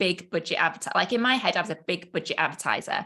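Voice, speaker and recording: With a British accent, a woman speaks at a very fast pace in a bright, sharp tone with ordinary pitch variation. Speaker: business coach. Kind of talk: live online training. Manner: animated.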